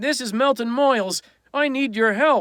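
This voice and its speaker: Bright, sharp tone at a moderate pace, dry and close with no echo, in a very clean recording against a silent background. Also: man. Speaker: audiobook narrator. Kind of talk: audiobook reading.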